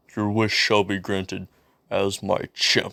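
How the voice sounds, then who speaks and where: A man growls in a put-on character voice at a fairly low pitch and a fairly slow pace. The recording is very clean, with a silent background. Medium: read story. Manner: solemn, commanding.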